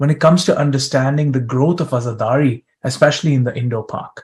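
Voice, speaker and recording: A man with a fairly high pitch speaks at a moderate pace, a little breathy, with ordinary pitch variation. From East African Tanzanian diaspora. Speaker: conference session host and researcher. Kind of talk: moderated panel discussion.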